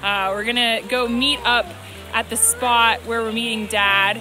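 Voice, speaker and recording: Intonation stays fairly even throughout. The sound is dry with no echo, and there is noticeable background noise. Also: woman. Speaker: parent vlogger. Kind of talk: casual vlog chat. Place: forest. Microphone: phone near.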